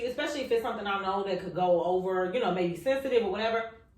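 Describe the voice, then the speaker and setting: The speech has lively intonation, with noticeable background noise and audible room echo. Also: woman. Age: 30s. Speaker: podcast host and mental health professional. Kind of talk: casual chat. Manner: gets loud when passionate.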